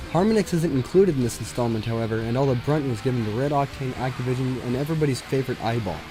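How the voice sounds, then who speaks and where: Over quiet background music, a man talks at a very fast pace. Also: medium pitch for a man, ordinary pitch variation, hardly any pauses. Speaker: game reviewer. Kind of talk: video game review narration.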